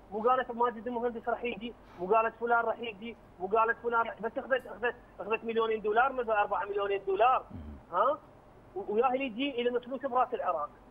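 Over noticeable background noise, a man speaks in an extremely high pitch. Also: fairly quick pace. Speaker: media personality. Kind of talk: TV panel discussion. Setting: phone call. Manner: animated.

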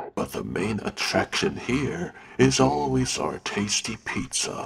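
In a put-on character voice, a man with a very deep, low pitch speaks at a fairly slow pace. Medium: voice reel. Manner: upbeat, showman-like.

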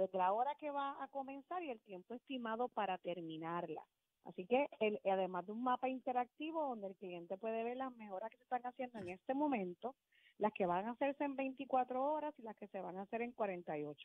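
An unremarkable speaking voice moves at a moderate pace with lively intonation and big swings in loudness. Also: woman, fairly high pitch for a woman. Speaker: utility company customer service manager. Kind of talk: radio interview.

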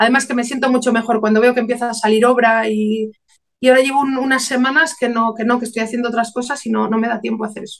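At a very fast pace and in a monotone, flat way, a woman with a fairly high pitch talks over a quiet background. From León, Spain; Spain. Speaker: painter and author; interviewee. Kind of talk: interview. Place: home room. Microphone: video call.

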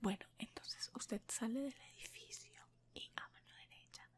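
She speaks in a whisper. The delivery is on the slow side. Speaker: ASMR creator playing a receptionist. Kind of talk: role-play phone talk, soft-spoken. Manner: soft, low ASMR role-play voice. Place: home room. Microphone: earbuds.

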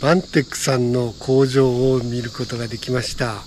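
A male speaker, moderate pace, some light noise behind him. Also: dry sound with no echo. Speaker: travel vlogger. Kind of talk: casual vlog chat. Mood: curious, pleased. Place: street. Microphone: phone near.

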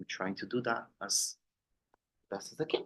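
With a Brazilian accent, a man talks with ordinary pitch variation. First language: Portuguese. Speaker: business owner and board member. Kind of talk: self-introduction at members meeting. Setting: meeting room, recorded on Zoom. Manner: halting, many fillers.

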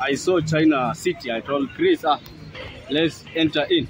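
Faint music plays in the background as the voice, dry with no echo, moves with ordinary pitch variation. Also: man. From Kenya. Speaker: vlogger's companion. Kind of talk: casual account to camera. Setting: outdoors. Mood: indignant storytelling. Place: street. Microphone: phone near.

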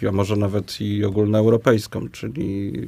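Fairly low male speech over noticeable background noise. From Poland, Łowicz. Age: 40s. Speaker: mayoral candidate, local politician. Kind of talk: political debate. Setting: radio studio. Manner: halting, many fillers.

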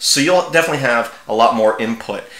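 A man talks fast at a medium pitch with a fairly bright tone and ordinary pitch variation, with audible room echo around him.

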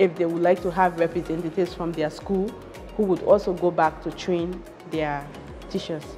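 Clear music plays behind a woman speaking at a moderate pace. Her pitch is fairly low and her intonation is monotone and flat. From Liberia. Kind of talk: interview answer. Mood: grateful, earnest. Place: office. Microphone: lapel.

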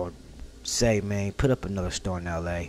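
Light noise sits in the background. The pace holds at a moderate rate. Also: man. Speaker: reaction video creator. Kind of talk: casual vlog chat. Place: home room. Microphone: studio mic.

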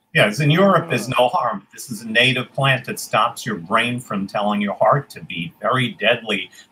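A man's medium-pitched voice with lively intonation at a moderate pace, with big swings in loudness and light background noise. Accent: New York. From New York City (Queens); New York City. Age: 70s. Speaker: forager, tour guide; tour guide. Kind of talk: interview. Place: home room.

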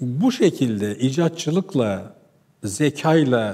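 A man's fairly high voice with a dark, mellow tone and very wide pitch swings over a quiet background. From Turkey, Ağrı (eastern Anatolia); Turkey. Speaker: economics lecturer. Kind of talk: lecture. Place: studio. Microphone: lapel.

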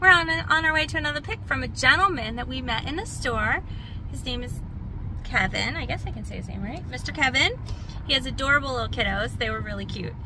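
A woman talks at a fairly quick pace. The sound is dry with no echo, with noticeable background noise. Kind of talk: casual vlog chat. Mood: cheerful, laughing. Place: car. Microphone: phone near.

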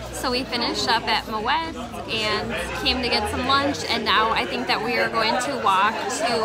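A woman speaks at a moderate pace while loud background noise fills the recording. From Minnesota, USA. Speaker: travel vlogger. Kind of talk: casual travel vlog talk to camera. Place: street. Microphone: phone near.

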